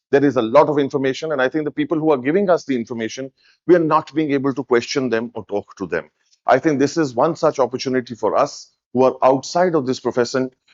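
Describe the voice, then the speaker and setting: A man speaks at a very fast pace in a strong Indian accent. His pitch is fairly high with ordinary variation. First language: Hindi. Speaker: event speaker. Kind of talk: speech to audience.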